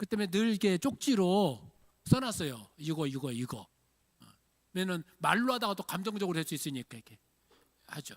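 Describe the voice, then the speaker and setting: Recorded very cleanly with a silent background and a dry, close sound with no echo, a high-pitched man speaks at a fairly quick pace, his pitch swinging very widely and his loudness shifting a lot, with long, frequent pauses. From Jeolla region, Korea. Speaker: pastor. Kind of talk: sermon. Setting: church.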